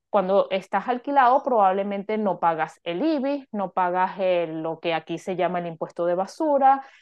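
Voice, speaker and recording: A woman's unremarkable speaking voice, medium in pitch, with lively intonation, a moderate pace and hardly any pauses. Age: 40s. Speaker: finance coach. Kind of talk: interview.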